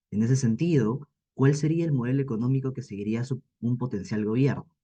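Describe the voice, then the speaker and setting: A man with a dark, mellow tone talks at a moderate pace. His somewhat breathy voice sits at medium pitch with ordinary pitch variation. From Peru, Ica. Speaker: university student. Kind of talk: formal question. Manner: formal.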